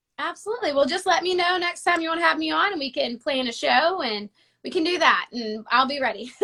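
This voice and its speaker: Using a raised, projected voice, a woman with an American accent speaks at a very fast pace with lively intonation, a bright, sharp tone and extremely high pitch. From United States. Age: 20s. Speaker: singer. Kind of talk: casual interview. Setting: video call.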